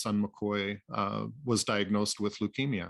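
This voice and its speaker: A man with an American accent speaks at a fairly slow pace in a fairly low pitch, his intonation flat and monotone, on a very clean recording with a silent background. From US Pacific Northwest (Anacortes, Washington). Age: 60s. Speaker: boat builder, father of a cancer patient. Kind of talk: interview testimony. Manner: halting, many fillers.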